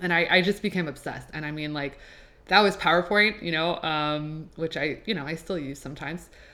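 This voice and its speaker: A woman's animated, enthusiastic delivery at a fairly quick pace and fairly low pitch, with ordinary pitch variation and big swings in loudness. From Quebec, Laval. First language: French. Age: 20s. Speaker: podcast host and graphic designer. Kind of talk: casual solo podcast intro. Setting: home apartment recording.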